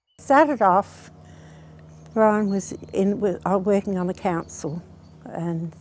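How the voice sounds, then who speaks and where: A woman talks with an Australian accent. Her pace is fairly slow. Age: 70s. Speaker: farmer's wife / grandmother. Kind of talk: oral history interview. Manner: halting.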